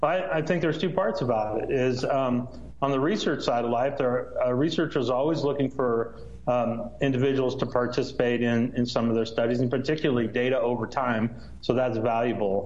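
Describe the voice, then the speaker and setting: At a fairly quick pace, a man with a medium-pitched voice talks with ordinary pitch variation and very even loudness. Background noise is noticeable. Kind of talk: explanatory interview answer. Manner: measured, halting with fillers.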